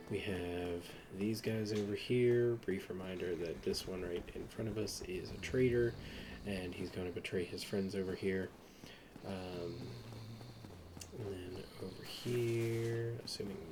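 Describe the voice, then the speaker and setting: A man speaks at a fairly low pitch and fairly slow pace, with fairly even intonation and long, frequent pauses. The room echo is audible. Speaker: gaming video creator. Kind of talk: game walkthrough commentary. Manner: halting.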